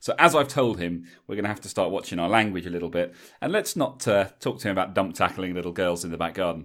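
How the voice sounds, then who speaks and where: In a very clean recording with a silent background, a man speaks very fast. He has an English accent and a very deep, low voice. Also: ordinary pitch variation, hardly any pauses. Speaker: rugby podcast host. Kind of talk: casual chat. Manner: casual, chatty with fillers.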